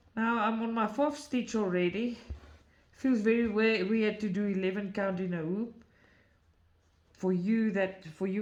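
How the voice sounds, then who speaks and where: A woman talks at a fairly slow pace, with ordinary pitch variation. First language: not English. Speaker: craft video creator. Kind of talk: tutorial. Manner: halting.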